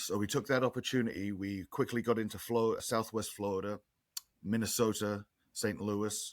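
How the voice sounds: A man with an English accent speaks at a moderate pace in a fairly low pitch, with fairly even intonation.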